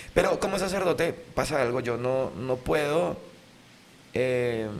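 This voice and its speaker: At a very slow pace, a man speaks with lively intonation at a medium pitch. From Venezuela, Lara state (Sarare). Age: 30s. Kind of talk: casual interview chat.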